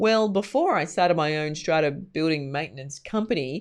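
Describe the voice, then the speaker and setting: A woman with a fairly low pitch and lively intonation speaks against a quiet background. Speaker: marketing coach. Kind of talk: tutorial. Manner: loud.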